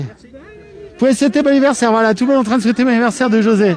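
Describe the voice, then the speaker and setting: Over music in the background, a man talks in an animated tone at an extremely high pitch. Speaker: web TV presenter. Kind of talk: live outdoor broadcast. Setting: outdoors at a market.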